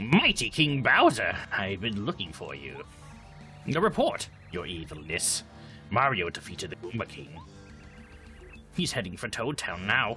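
Over clear music in the background, a man uses a put-on character voice at a medium pitch and moderate pace, leaving long, frequent pauses. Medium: game stream. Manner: blustering, irritable.

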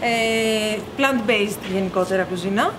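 A woman talks while noticeable background noise runs beneath her. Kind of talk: interview answer. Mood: friendly and relaxed. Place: cafe.

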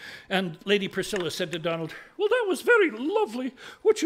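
A reading voice, unforced.

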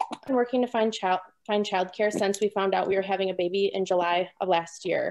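Noticeable background noise sits behind a woman with an Upper Midwest accent. She talks at a fairly quick pace with fairly even intonation. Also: medium pitch for a woman. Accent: Upper Midwest American. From southern Wisconsin. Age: young. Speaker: new mother and dairy farmer. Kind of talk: personal testimony. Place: home room. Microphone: video call.

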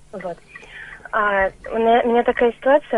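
This woman's voice sits fairly high. Its pitch moves in a typical way. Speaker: caller. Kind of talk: radio phone-in consultation. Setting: phone call. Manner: halting.

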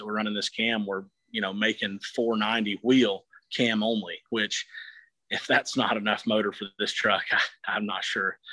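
Over a quiet background, a man speaks at a moderate pace with a fairly low pitch, a bright, sharp tone, and monotone, flat intonation, in a dry sound with no echo. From US South. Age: 20s. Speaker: truck builder; interviewee. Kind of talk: interview. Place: garage. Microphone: phone near.

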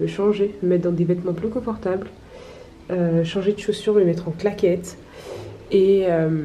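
With light background noise behind her, a woman speaks at a moderate pace with fairly even intonation. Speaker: travel vlogger. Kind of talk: casual vlog chat. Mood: pleased, relaxed. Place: home room. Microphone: phone near.

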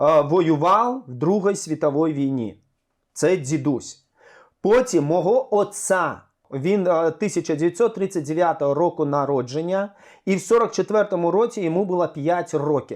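The pace is very slow. The background is quiet. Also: man, high pitch for a man, ordinary pitch variation. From Crimean Tatar, born in exile, later Crimea. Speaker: community activist and cultural events manager. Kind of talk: interview testimony. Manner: halting.

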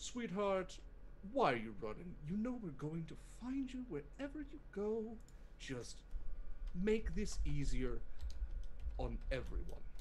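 A put-on character voice at a fairly high pitch, fairly slow, with long, frequent pauses over clear background noise. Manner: calm, mocking taunt; shouting.

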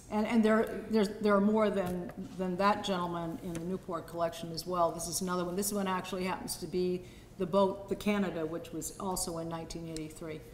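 Amid light background noise and audible room echo, a woman talks at a moderate pace with fairly even intonation. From Sydney, Australia. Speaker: show host and daughter of the featured artist; show host. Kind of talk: gallery talk to a live audience. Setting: museum exhibit opening with audience. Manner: halting. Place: hall. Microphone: handheld.

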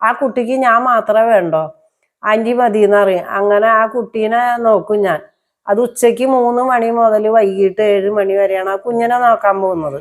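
A woman with an unremarkable speaking voice, fairly high in pitch, keeps her loudness very even and her pitch variation ordinary. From Kerala, Thrissur. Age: 60s. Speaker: vlogger and domestic worker. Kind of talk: personal life story monologue.

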